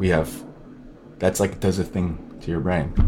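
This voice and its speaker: The speech moves at a moderate pace in an American accent. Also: man. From mixed: Scotland, upstate New York, San Francisco Bay Area. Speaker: novelist. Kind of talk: casual interview. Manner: halting, many fillers.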